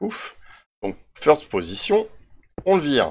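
On a very clean recording with a silent background, a man speaks very slowly with very wide pitch swings. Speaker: Minecraft YouTuber. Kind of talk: tutorial. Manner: hesitant, many fillers.

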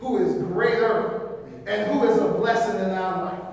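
A man's high-pitched voice at a fairly slow pace, with ordinary pitch variation and strong room echo. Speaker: preacher. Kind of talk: sermon. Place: church. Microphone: camera far.

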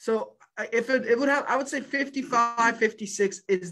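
Projecting his voice, a man speaks with a bright, sharp tone. There is light background noise. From Ukraine. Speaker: stock trading coach. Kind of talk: livestream market review. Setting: live stream. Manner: animated. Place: office. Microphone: webcam.

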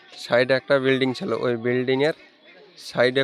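Noticeable background noise around a man talking at medium pitch. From Murshidabad, West Bengal, India. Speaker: brother of deceased migrant worker. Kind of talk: news interview.

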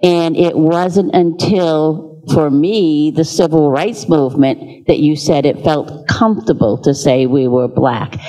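A woman with an American accent speaks at a very slow pace in a very deep, low pitch, with ordinary pitch variation and very even loudness. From Cape Verdean American community. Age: 70s. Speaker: audience member. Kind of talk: audience question. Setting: stage with audience. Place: hall.

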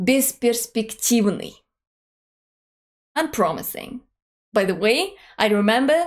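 Against a quiet background, a woman speaks with a Russian accent. Her pitch is fairly high and her pace very slow. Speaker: language teacher. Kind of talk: language lesson to camera. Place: home room.

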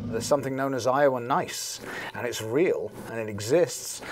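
Someone with an English accent talks at a moderate pace with ordinary pitch variation and big swings in loudness, in a dry sound with no echo over light background noise. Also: man. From England. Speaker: talk radio host. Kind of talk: interview answer. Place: studio. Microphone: lapel.

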